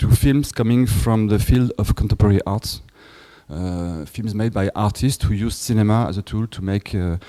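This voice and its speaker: A man with a French accent, fairly low pitch, ordinary pitch variation and a dark, mellow tone at a moderate pace, in a very clean recording with a silent background and a dry, close sound with no echo. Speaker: film festival director. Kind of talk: lecture. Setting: workshop with audience. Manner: halting.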